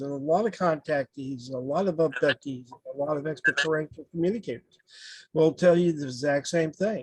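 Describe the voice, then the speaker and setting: Recorded dry and close with no echo, a man with a normal speaking voice talks at a fairly high pitch and a fairly quick pace with ordinary pitch variation. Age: 60s. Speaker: spiritual medium and contact experiencer. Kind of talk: casual interview chat.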